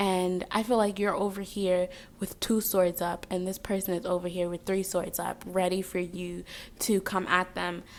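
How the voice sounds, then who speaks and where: The speaker has a slight Jamaican accent and a monotone, flat intonation at a moderate pace. The recording is very clean, with a silent background. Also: woman, medium pitch for a woman. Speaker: tarot reader. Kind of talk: tarot reading. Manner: casual, filler-heavy.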